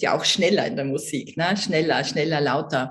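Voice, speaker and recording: A woman with an Austrian accent has a fairly low pitch and ordinary pitch variation. Her voice is somewhat breathy. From Austria, Vienna. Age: 60s. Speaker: network marketing entrepreneur and coach. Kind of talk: interview.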